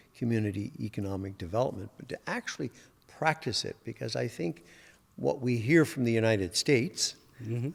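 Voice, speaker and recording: In an ordinary speaking voice, a man with a fairly low pitch talks with lively intonation. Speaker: university president, podcast host. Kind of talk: podcast interview questions.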